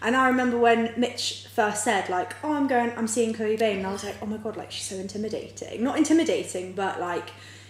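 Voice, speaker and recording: A woman talks fairly quickly in a fairly high voice with hardly any pauses. Noticeable background noise and audible room echo fill the recording. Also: ordinary pitch variation. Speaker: podcast host. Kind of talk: casual chat. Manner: louder, more energetic.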